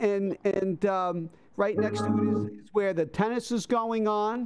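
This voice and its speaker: Through noticeable background noise, a man speaks fairly slowly at a high pitch. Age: 60s. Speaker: livestream host. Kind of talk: casual chat. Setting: video call from his room.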